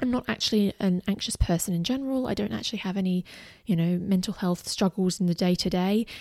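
In a very clean recording with a silent background, a woman with an Australian accent speaks very fast in a dark, mellow tone, with ordinary pitch variation and a dry, close sound with no echo. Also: medium pitch for a woman. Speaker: podcast host and former teacher running online business. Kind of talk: personal monologue.

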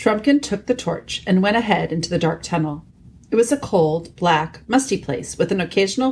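Lively intonation in a natural reading voice.

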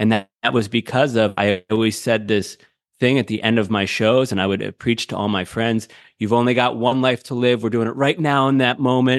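A normal speaking voice belongs to a man of medium pitch. He talks at a fairly quick pace with fairly even intonation, the sound dry and close with no echo. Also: quiet background. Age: 30s. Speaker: radio producer and show host. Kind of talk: casual chat.

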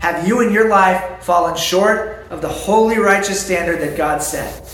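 The speech moves at a fairly slow pace. Noticeable background noise and audible room echo are present. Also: man. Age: 30s. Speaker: pastor. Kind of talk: sermon.

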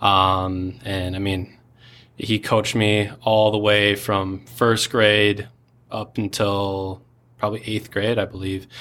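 On a very clean recording with a silent background, a man with an American accent speaks at a very slow pace. His tone is bright and sharp, his intonation monotone and flat. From Minnesota. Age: 20s. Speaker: entrepreneur. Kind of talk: interview testimony.

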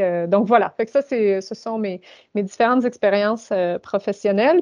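Moderate pace and ordinary pitch variation in a normal speaking voice. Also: woman. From Ontario, Canada. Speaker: university administrator. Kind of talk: interview. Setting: video call.

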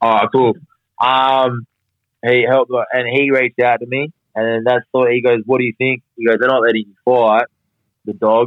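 A man with an Australian accent talks at a moderate pace and medium pitch, his intonation monotone and flat, his loudness swinging widely, with long, frequent pauses. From Perth, Western Australia. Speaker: professional boxer. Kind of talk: casual interview chat.

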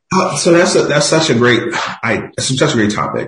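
A man with an American accent speaks with lively intonation over music in the background. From Philadelphia, US. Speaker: tech industry executive. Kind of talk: podcast interview.

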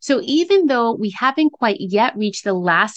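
The woman's moderate-paced speech has lively intonation. The sound is dry and close with no echo, over a quiet background. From US, Dominican family. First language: Spanish. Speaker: podcast host and therapist. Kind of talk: solo podcast talk.

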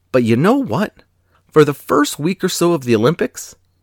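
A man speaks at a moderate pace with very wide pitch swings and vocal fry. The sound is dry and close with no echo, on a very clean recording with a silent background. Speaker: podcast host. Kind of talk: true-crime narration. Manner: grave, measured storytelling pace; formal, solemn.

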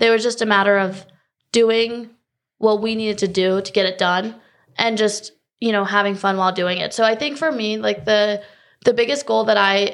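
At a moderate pace, a woman with a North Carolina accent speaks at medium pitch with fairly even intonation over a quiet background. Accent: American, North Carolina. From North Carolina, Raleigh area. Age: 20s. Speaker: college tennis player. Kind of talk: interview.

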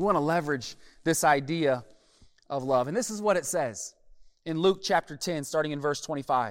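An animated man talks in an American accent. The recording is very clean, with a silent background. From US Midwest, Omaha, Nebraska. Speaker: pastor. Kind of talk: sermon. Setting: gymnasium.

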